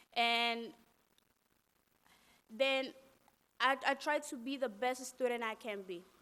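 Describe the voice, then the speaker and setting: A woman's very slow delivery, high-pitched with a bright, sharp tone, fairly even intonation and a Spanish accent. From Latin America, raised in New York City. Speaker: undocumented student activist. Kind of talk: testimony. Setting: press conference. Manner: halting.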